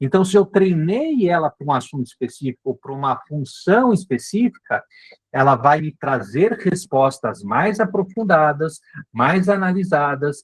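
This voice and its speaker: The speech moves at a fairly slow pace with very wide pitch swings. The sound is dry and close, without echo. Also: man. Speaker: marketing instructor. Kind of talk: live online class. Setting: live video meeting.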